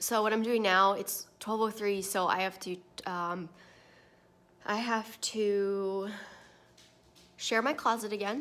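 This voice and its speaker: A woman talks at a fairly slow pace and a medium pitch. Her intonation stays fairly even. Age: 20s. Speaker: vlogger and online clothing reseller. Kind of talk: casual vlog chat. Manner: trying to talk loud.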